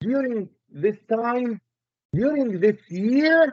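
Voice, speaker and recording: A man with a non-native accent speaks in a dry, close sound with no echo. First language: Arabic. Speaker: Islamic lecturer. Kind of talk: lecture.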